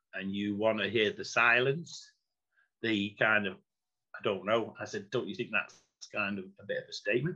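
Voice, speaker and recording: A man with a Mancunian accent, fairly quick in pace, his tone bright and sharp, his pitch swinging very widely. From Manchester, England. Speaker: former executive and chief operating officer. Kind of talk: interview answer.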